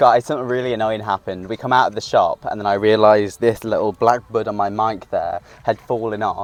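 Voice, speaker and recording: Delivered at a fairly quick pace with hardly any pauses, the speech has monotone, flat intonation and a dry, close sound with no echo. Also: man, medium pitch for a man. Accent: British. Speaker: equestrian vlogger. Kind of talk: casual vlog. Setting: shop; farm. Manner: quiet.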